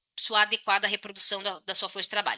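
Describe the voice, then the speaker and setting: Fairly high pitch and a bright, sharp tone from a woman. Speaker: economics professor. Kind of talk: lecture. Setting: online talk with chat. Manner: fast.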